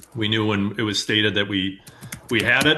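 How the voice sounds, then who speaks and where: At a moderate pace, a man with a Midwestern US accent speaks in a fairly low pitch. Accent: US Midwest. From Iowa, Winnebago County. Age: 40s. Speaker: farmer. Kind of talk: interview. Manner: halting with fillers.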